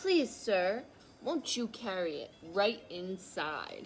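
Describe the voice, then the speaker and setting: Using a put-on character voice, a woman speaks at a medium pitch and a very slow pace over clear background noise. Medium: read story. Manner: enthusiastic, proper.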